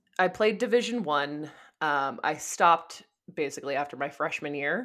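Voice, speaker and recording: A woman speaks at a moderate pace with an American accent. The recording is very clean, with a silent background. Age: 30s. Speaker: ultramarathon runner. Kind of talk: casual interview. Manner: long-winded.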